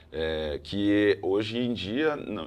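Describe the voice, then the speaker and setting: A man's voice with very wide pitch swings. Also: quiet background. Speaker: artificial intelligence specialist. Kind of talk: interview.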